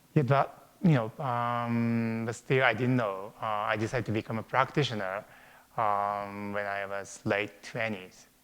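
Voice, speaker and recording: A man with a Japanese accent speaks at a fairly slow pace, his pitch medium and his intonation fairly even. The recording is very clean, with a silent background. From Japan, Tokyo suburbs. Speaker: acupuncturist. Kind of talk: interview. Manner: halting, many fillers.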